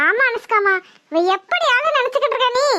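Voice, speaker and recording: Using a cartoonish character voice, a woman speaks at an extremely high pitch. Her pace is moderate and her pitch varies in an ordinary way. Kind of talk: melodramatic village soap acting.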